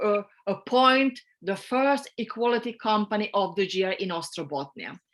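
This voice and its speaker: Her pitch is fairly high, with ordinary variation. The woman keeps a fairly slow pace. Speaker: regional gender equality official. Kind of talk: conference panel presentation. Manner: halting, many repetitions.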